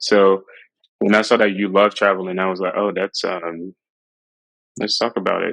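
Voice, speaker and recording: At a moderate pace, a man speaks in a fairly low pitch with monotone, flat intonation and a dry, close sound with no echo. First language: French. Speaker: interviewer. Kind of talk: interview conversation.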